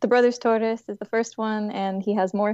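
Speaking at a fairly quick pace, a woman with an American accent has a fairly high pitch, ordinary pitch variation and an unremarkable speaking voice. The sound is dry and close with no echo, over a quiet background. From Texas, Houston. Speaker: author. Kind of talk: interview.

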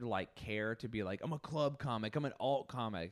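An unremarkable speaking voice from a man with an American accent and lively intonation, on a very clean recording with a silent background. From rural Utah, Millard County. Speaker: stand-up comedian. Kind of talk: casual chat.

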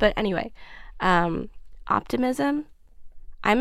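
In a New York accent, a woman speaks with lively intonation. Her pace is fairly slow. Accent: New York American. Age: 20s. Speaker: magazine creative director. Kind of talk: casual chat. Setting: studio.

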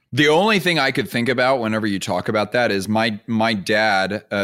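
A man with a plain, everyday voice speaks at a moderate pace, with a fairly low pitch and ordinary pitch variation. The recording is very clean, with a silent background. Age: 30s. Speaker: podcast host. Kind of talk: interview.

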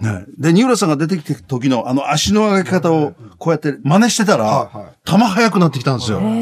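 His pitch fairly high, a man speaks with very wide pitch swings. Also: fairly quick pace. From Tottori, Japan. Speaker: baseball commentator and former pitcher. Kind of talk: interview.

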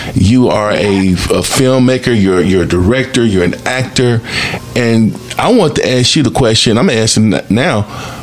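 There is noticeable background noise as a man speaks at a fairly slow pace. His medium-pitched voice has ordinary pitch variation and very even loudness. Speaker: podcast host. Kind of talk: moderated panel discussion. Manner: upbeat, enthusiastic.

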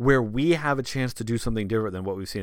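On a very clean recording with a silent background, a man talks at a very fast pace in a fairly low pitch with lively intonation. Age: 30s. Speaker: sports podcast host. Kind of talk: solo podcast commentary.

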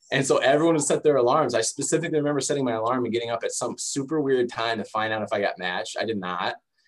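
This man has an American accent and ordinary pitch variation. He speaks very fast with hardly any pauses. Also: medium pitch for a man. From Michigan, US (Detroit area and Lansing). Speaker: sports dietitian. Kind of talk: interview.

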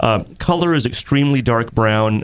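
A man's ordinary speaking voice with lively intonation at a moderate pace. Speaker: homebrew show host and beer judge. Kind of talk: casual chat and beer judging. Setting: live show.

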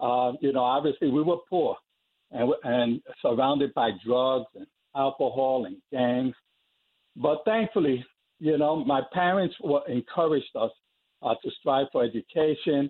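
A man with an American accent talks in a plain, everyday voice, fairly high in pitch with ordinary pitch variation. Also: fairly slow pace. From New York (South Bronx). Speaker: athletics coach. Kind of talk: interview. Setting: phone call.

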